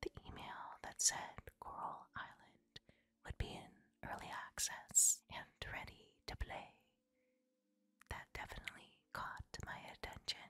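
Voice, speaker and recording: Fairly slow whispering from a woman. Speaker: game reviewer. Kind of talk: whispered ASMR game review. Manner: whispered, soft.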